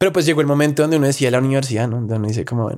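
A man with a strong Bogotá accent and ordinary pitch variation. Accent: strong Bogotá rolo. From Colombia, Bogotá. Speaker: content creator. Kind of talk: casual interview chat.

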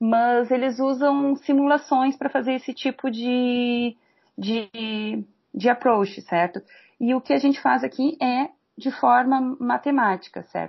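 At a fairly slow pace, a woman with a high voice keeps her intonation fairly even. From Rio Grande do Sul, Brazil (Pelotas). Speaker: mathematics professor. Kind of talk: interview.

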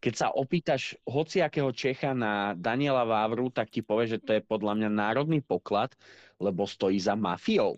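A man with a normal speaking voice talks at a medium pitch and a moderate pace, with ordinary pitch variation. The sound is dry and close with no echo, his loudness very even, the background quiet. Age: 20s. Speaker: podcast co-host, gamer. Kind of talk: casual chat.

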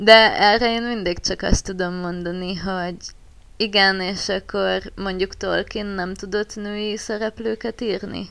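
Speaking at a very slow pace, a woman keeps a medium pitch. Her intonation is monotone and flat. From Borsod county, northeastern Hungary. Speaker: forum roleplay writer. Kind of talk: casual chat.

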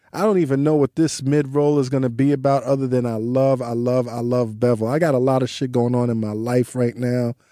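Medium pitch from a man, fairly even intonation and hardly any pauses. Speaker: podcast host. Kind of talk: read-out ad; casual interview chat. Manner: like an old-school radio DJ.

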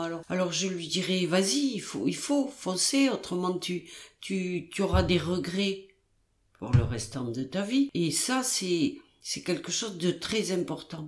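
Speaking at a very slow pace, a woman with a fairly low pitch makes very wide pitch swings. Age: 70s. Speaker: podcast host's grandmother, retiree. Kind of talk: casual interview. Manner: halting.

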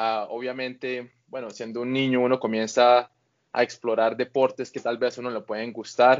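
A man talks in a medium pitch. His intonation stays monotone and flat. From Colombia, Bucaramanga. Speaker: grappling athlete. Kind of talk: interview.

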